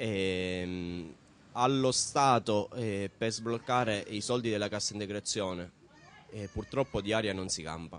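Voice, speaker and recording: A man with a plain, everyday voice speaks fairly slowly, his pitch fairly low and his pitch variation ordinary. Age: 20s. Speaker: laid-off supermarket worker. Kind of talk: news interview.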